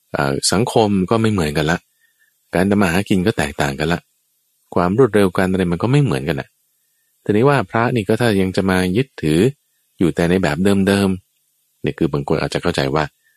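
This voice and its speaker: The background is quiet, and the sound is dry and close with no echo. A man speaks with a very deep, low pitch and lively intonation. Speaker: Buddhist monk teacher. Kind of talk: radio dharma Q&A talk.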